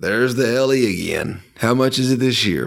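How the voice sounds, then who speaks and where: Medium pitch from a man in a plain, everyday voice, at a moderate pace. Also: very clean recording, silent background. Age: 30s. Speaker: podcast co-host, pharmacist. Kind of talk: casual chat.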